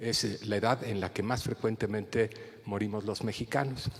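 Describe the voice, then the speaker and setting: A man's voice sits fairly low in pitch, moving at a moderate pace with ordinary pitch variation. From Mexico City. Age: 60s. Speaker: geriatrician. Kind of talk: lecture. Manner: halting, with repetitions and fillers.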